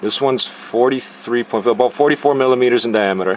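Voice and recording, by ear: A man speaks at a medium pitch and a fairly quick pace. Faint background noise sits behind him. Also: ordinary pitch variation.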